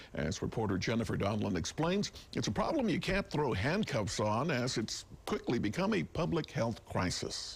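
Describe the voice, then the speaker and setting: Here a man at medium pitch talks at a moderate pace with vocal fry, very even loudness, and very wide pitch swings. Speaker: news anchor. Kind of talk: TV news anchor read.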